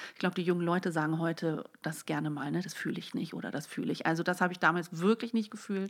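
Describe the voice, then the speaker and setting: A woman with a fairly low pitch and ordinary pitch variation speaks very fast, with hardly any pauses. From Netherlands and Germany, grew up bilingual. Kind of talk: casual conversation.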